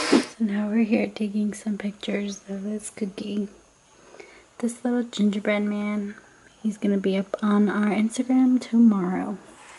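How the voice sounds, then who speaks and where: Over noticeable background noise, a woman speaks at a moderate pace in a fairly high pitch with fairly even intonation. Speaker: lifestyle vlogger. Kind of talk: vlog narration. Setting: at home. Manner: casual, chatty.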